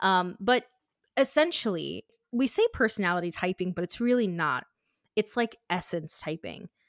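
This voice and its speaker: Here a woman has a normal speaking voice, moving at a moderate pace with lively intonation. The sound is dry and close, with no echo. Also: medium pitch for a woman. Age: 20s. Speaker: life coach. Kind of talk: casual chat.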